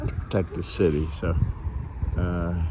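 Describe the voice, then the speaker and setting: Over noticeable background noise and audible room echo, a man with an American accent talks at a fairly slow pace in a monotone, flat intonation. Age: 80s+. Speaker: army veteran, hospital patient. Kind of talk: casual vlog commentary. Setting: outdoors at hospital. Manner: halting, repetitive.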